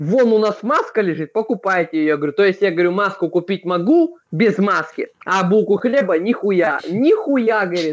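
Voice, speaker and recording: Against a quiet background, a man with a high pitch talks at a moderate pace with hardly any pauses. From Vladivostok, Russia. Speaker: video chat user. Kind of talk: casual chat, heavy swearing. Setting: video chat. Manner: swearing, emotional. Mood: animated, swearing, complaining. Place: home room. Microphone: webcam.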